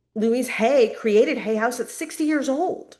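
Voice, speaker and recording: In a plain, everyday voice, a woman speaks at a moderate pace with lively intonation. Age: 50s. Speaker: transformational coach. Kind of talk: casual chat. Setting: podcast interview.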